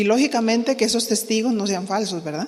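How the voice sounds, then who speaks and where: A woman has an ordinary speaking voice at a fairly high pitch. Her pitch variation is ordinary. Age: 60s. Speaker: pastor's wife teaching women leaders. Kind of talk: sermon-style teaching.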